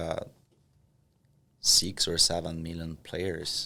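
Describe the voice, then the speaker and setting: A man with a Portuguese accent talks at a very slow pace. His very deep, low voice holds a monotone, flat intonation. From Brazil, Curitiba. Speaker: professional poker player. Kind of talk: casual podcast interview.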